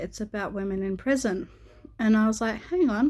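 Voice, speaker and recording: In an Australian accent, a woman speaks at a medium pitch. Her pace is moderate and her pitch varies in an ordinary way. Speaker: YouTuber. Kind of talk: casual vlog talk. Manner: hesitant, many filler words.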